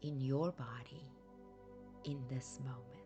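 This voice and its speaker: Over music in the background, a woman speaks with a very deep, low pitch. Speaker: therapist and meditation guide. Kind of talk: guided sleep meditation. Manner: soft-spoken, slow, calm.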